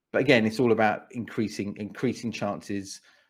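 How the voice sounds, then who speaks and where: A man speaks with a southern English accent at a moderate pace and fairly even intonation. The recording is very clean, with a silent background. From England, Watford. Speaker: speaker and pitch coach. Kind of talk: interview. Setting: podcast. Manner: repetitive, halting with restarts.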